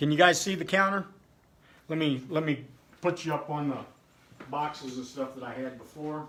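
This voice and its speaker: The speech moves at a moderate pace. Long pauses come often. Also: man, fairly high pitch for a man, fairly even intonation. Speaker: home cooking video creator. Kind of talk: casual cooking livestream. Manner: loud.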